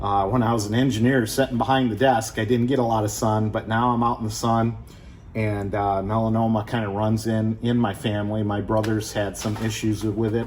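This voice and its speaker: Over noticeable background noise and audible room echo, a man with a Midwestern American accent talks at a moderate pace in a medium pitch, his intonation monotone and flat. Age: 60s. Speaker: car restoration youtuber, retired engineer. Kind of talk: casual chat; tutorial. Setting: garage. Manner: casual, halting with many fillers.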